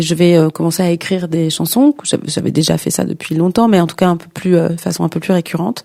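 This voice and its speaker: Fairly low in pitch, a woman's dark, mellow voice moves at a fairly quick pace with fairly even intonation. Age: 50s. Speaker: singer and performing artist. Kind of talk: interview. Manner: halting, many repetitions and fillers.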